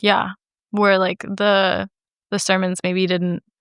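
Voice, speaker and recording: A woman at medium pitch, fairly slow, in a very clean, dry, close recording with no echo and a silent background. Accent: Midwestern American. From Franklin, Indiana. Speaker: school counselor. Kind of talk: interview answer. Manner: casual, candid.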